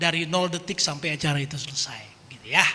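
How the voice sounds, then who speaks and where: A man's high-pitched voice, fairly quick and fairly even in intonation, against noticeable background noise. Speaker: lay preacher and musician. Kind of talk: testimony sharing at prayer meeting. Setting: church prayer meeting hall. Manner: casual, conversational.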